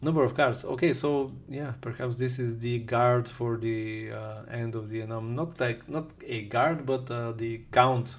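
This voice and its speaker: There is audible room echo on this recording. The man's pitch is medium. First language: language with Cyrillic alphabet. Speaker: game developer, programming YouTuber. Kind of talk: code reading reaction, thinking aloud. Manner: halting, many fillers.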